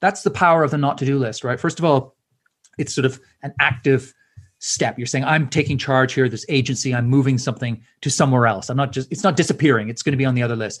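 Somewhat breathy and fairly high-pitched, a man talks at a fairly quick pace. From Canada. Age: 50s. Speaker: author and speaker. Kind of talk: interview.

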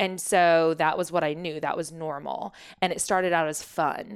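An unremarkable speaking voice from a woman with an American accent, fairly low in pitch with fairly even intonation, on a very clean recording with a silent background. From Oklahoma (Shawnee), US. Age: 30s. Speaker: wellness coach, former realtor. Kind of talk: interview, personal story.

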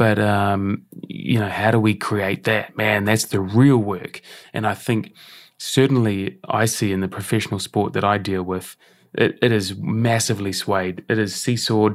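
A man has a normal speaking voice, fairly low in pitch with fairly even intonation, at a fairly slow pace. The recording is very clean, with a silent background. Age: 40s. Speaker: breathwork and health performance consultant. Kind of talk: casual interview chat. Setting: in person recording.

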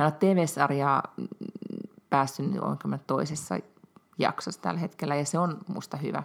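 Her pitch is very deep and low, with vocal fry and lively intonation. This woman speaks at a fairly slow pace with long, frequent pauses. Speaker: podcast co-host. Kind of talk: casual chat.

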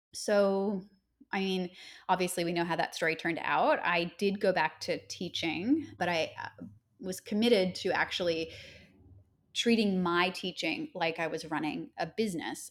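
In a very clean recording with a silent background, a woman speaks at a moderate pace in a plain, everyday voice, with a medium pitch and ordinary pitch variation. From Nova Scotia, Canada. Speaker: yoga teacher and podcaster. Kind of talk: casual interview conversation.

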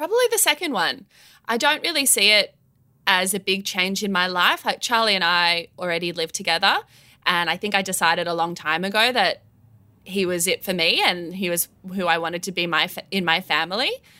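A woman with an Australian accent speaks at a fairly quick pace in a medium pitch, her bright, sharp tone showing ordinary pitch variation on a very clean recording with a silent background. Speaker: children's band singer. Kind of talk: casual chat.

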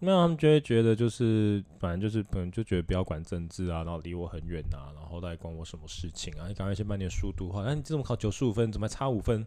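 Very fast with hardly any pauses, a man with a fairly low pitch and a dark, mellow tone uses lively intonation. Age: 20s. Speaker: podcast co-host. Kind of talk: casual chat.

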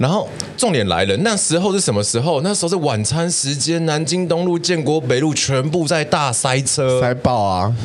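A man with a fairly high pitch talks with lively intonation, very even loudness and hardly any pauses. Noticeable background noise and audible room echo fill the recording. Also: moderate pace. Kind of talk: casual chat, storytelling.

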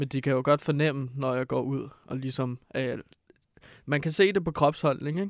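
Recorded very cleanly against a silent background, a man with an unremarkable speaking voice talks at a fairly high pitch and fairly slow pace, with fairly even intonation. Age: 20s. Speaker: radio co-host. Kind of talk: casual chat.

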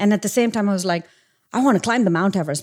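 This is a woman's voice. The pitch moves up and down in an ordinary way. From India, small town. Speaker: tech company CEO. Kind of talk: interview.

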